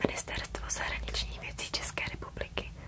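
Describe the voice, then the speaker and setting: Against noticeable background noise, a woman whispers at a moderate pace. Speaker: ASMR creator. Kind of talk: ASMR reading of official statements. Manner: whispered.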